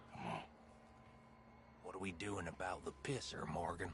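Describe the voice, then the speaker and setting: A man puts on a character voice, very deep and low, at a moderate pace. Clear background noise is heard. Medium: video game. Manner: blunt, crude.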